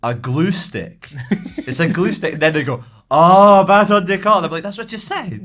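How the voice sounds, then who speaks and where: With a Scottish accent, a high-pitched man speaks at a moderate pace with lively intonation. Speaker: podcast co-host. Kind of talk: casual chat.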